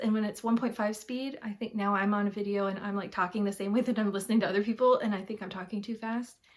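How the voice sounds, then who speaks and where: A woman with an American accent, fairly high in pitch, with fairly even intonation. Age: 50s. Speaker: cross-stitch vlogger. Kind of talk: casual chat. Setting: home. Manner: fast.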